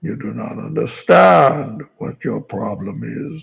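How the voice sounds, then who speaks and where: A man uses a put-on character voice, raspy and fairly low in pitch. He speaks at a fairly slow pace. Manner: menacing, deliberate.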